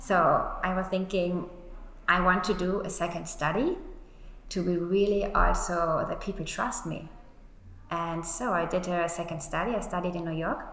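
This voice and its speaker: A woman's medium-pitched voice with a German accent, moderate in pace and fairly even in intonation, with long, frequent pauses and noticeable background noise. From Germany. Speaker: beauty agency founder. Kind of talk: interview.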